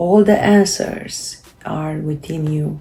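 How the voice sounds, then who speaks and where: Noticeable background noise sits behind a woman with a Romanian accent and ordinary pitch variation. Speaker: self-help video creator. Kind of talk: casual talk to camera. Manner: halting, many fillers.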